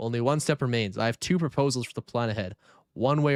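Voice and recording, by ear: Reading aloud in a natural voice, with ordinary pitch variation over a quiet background.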